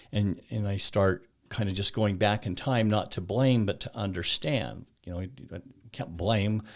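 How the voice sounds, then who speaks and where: A man speaks in an ordinary speaking voice at a fairly slow pace and fairly low pitch with ordinary pitch variation, on a very clean recording with a silent background. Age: 60s. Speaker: mental health coach. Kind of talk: casual interview conversation.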